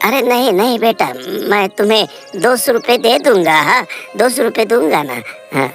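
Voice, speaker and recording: Over clear background music, a man does a cartoonish character voice at a high pitch. His pace is moderate. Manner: stammering, hesitant.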